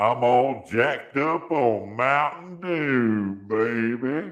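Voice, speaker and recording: A put-on character voice from a man at medium pitch, delivered at a very slow pace. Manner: jokey, exaggerated.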